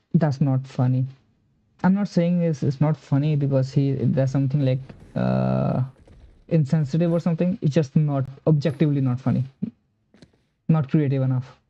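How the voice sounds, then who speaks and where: With music in the background, a man speaks at a fairly high pitch and a moderate pace. His intonation is fairly even, and he leaves long, frequent pauses. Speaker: streamer reacting to video. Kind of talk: live reaction commentary.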